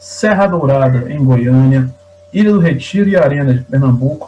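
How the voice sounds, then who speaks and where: A man speaks at medium pitch and a fairly slow pace, with lively intonation. Noticeable background noise is present. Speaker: interviewer and host of an interview podcast. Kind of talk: interview host talk.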